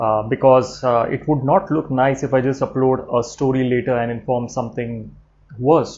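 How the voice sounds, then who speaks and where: In an Indian accent, a man of medium pitch speaks at a moderate pace. His intonation stays fairly even. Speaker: trainer and YouTuber. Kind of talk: personal vlog announcement. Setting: live stream from home. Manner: hesitant, many fillers.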